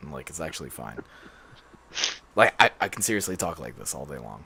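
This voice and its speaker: A man puts on a character voice that is raspy and very deep, swinging widely in pitch. His loudness rises and falls sharply as he speaks fairly quickly. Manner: sustained deeper talking.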